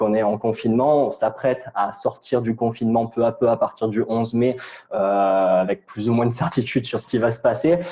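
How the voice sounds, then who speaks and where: Speaking at a fairly quick pace, a man uses a medium pitch and a dark, mellow tone, with fairly even intonation and very even loudness. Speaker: digital media consultant. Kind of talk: webinar presentation. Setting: online webinar. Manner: fast; hesitant, many fillers.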